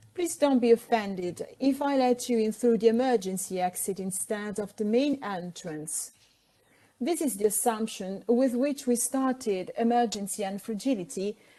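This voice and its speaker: In an Italian accent, a woman speaks at a moderate pace with a dark, mellow tone. Her pitch is fairly high, with ordinary variation. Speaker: architect and safety consultant. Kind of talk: pre-recorded presentation. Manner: formal.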